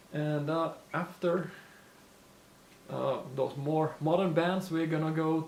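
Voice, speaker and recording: A man speaks very slowly in a fairly high, flat monotone. Noticeable background noise runs underneath. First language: not English. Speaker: lure maker and YouTuber. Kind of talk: casual Q&A talk to camera. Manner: hesitant, many fillers.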